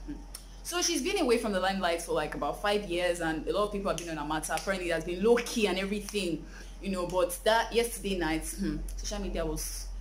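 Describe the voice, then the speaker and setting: A woman talks at a very fast pace over light background noise. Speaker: entertainment gossip vlogger. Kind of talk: casual vlog chat. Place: home room.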